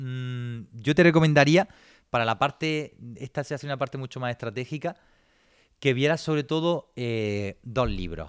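This man has an unremarkable speaking voice, medium in pitch, with lively intonation at a moderate pace and a dry, close sound with no echo. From Granada, Andalusia, Spain. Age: 20s. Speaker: business consultant and entrepreneur. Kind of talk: online seminar lecture.

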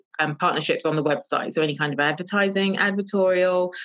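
A woman talks with a London accent. Her pace is fairly quick, with ordinary pitch variation. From London, England. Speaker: fashion stylist and journalist. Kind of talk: casual interview. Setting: remote call.

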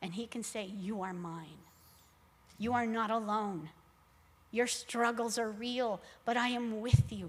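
The speech is very slow and somewhat breathy, in an American accent. The intonation is lively. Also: woman. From Texas, Laredo. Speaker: church mission minister. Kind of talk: sermon; testimony.

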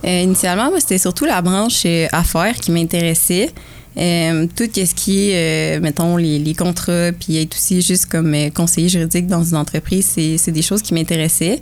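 A woman with an unremarkable speaking voice talks at a moderate pace in a fairly low pitch for a woman, with fairly even intonation and very even loudness. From Quebec, Bois-Francs region. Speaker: university athlete and medical student. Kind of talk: casual interview.

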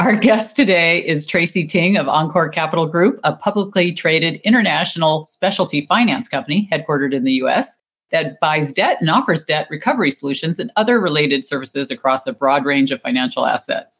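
A woman's fairly low-pitched, normal speaking voice, fairly quick, with hardly any pauses and lively intonation. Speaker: podcast host. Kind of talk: interview intro and outro.

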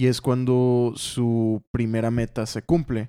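This man speaks very slowly at a medium pitch, his tone dark and mellow. The recording is very clean with a silent background, and the sound is dry and close with no echo. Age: 20s. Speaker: comic colorist and co-host. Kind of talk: casual chat.

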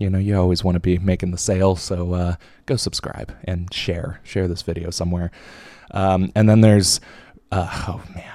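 In a very clean recording with a silent background, a man with a very deep, low pitch talks at a moderate pace in a dark, mellow tone with monotone, flat intonation. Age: 20s. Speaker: podcast host. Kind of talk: casual monologue. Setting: home video podcast recording.

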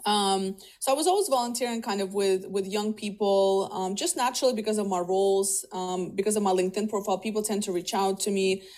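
At a very fast pace with hardly any pauses, a woman speaks with a Russian accent. Her medium pitch keeps a fairly even intonation. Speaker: career coach and talent executive. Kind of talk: interview conversation.

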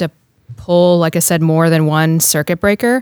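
In a very clean recording with a silent background and a dry, close sound free of echo, a woman with an unremarkable speaking voice talks at a moderate pace and a fairly low pitch. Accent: American. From US South, North Carolina. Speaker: Coast Guard pilot. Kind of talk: casual interview.

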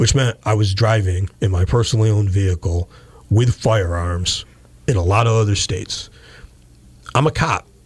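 A man with an American accent speaks at a moderate pace in a fairly low, somewhat breathy voice, with ordinary pitch variation, very even loudness, and long, frequent pauses. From western Massachusetts (Pittsfield). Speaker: police chief. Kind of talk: interview. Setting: radio studio.

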